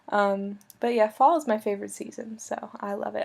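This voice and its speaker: A woman talks quietly at a fairly slow pace, her pitch in the medium range. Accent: American. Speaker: video blogger. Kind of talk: casual video message to a friend. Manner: loud talker; trying to stay quiet.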